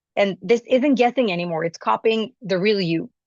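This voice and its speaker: The woman's voice sits at a medium pitch, with ordinary pitch variation and a non-native accent, at a moderate pace. The sound is dry and close with no echo, and the background is quiet. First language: not English. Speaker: business founder and singer giving a talk. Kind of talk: conference presentation.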